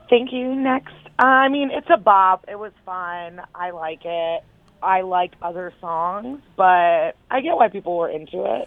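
Speaking at a fairly slow pace, a woman with a medium pitch uses lively intonation and big swings in loudness. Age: 30s. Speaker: phone guest. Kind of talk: casual chat.

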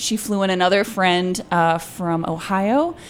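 A woman with an American accent speaks at a very slow pace, her pitch medium. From Georgia, US South. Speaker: stand-up comedian. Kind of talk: casual chat.

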